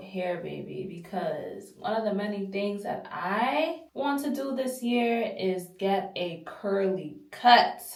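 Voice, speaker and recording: With hardly any pauses, a woman talks over noticeable background noise and audible room echo. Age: 20s. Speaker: natural hair content creator. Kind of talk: casual chat. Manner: casual, conversational.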